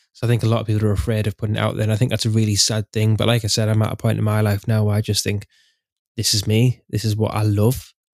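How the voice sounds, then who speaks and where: This man speaks very fast in an English accent, his fairly low voice flat and monotone. The recording is very clean, with a silent background. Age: 30s. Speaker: podcast host, historical re-enactor. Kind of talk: casual chat.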